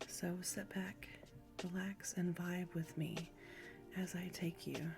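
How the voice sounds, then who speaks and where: Very slow speech with music in the background. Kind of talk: ASMR poetry reading. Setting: lo-fi background music. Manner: soft-spoken.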